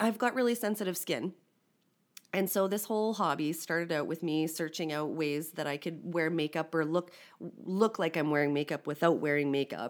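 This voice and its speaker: A woman with a Canadian accent has an ordinary speaking voice, a fairly low pitch and ordinary pitch variation. She speaks at a moderate pace on a very clean recording with a silent background. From Saskatchewan, Canada. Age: 40s. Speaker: communications consultant in policing and corrections. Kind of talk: casual chat.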